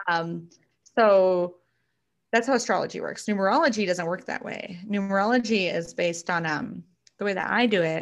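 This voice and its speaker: A woman with an unremarkable speaking voice talks at a medium pitch. Her pace is moderate, and her pitch variation is ordinary. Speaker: astrology and numerology reader, small business owner. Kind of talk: casual chat.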